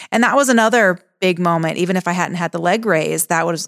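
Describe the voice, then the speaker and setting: A woman's fairly low voice, an unremarkable speaking voice, with ordinary pitch variation and a fairly quick pace, in a dry, close sound with no echo on a very clean recording against a silent background. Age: 30s. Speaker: fitness trainer and gym owner. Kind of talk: casual chat.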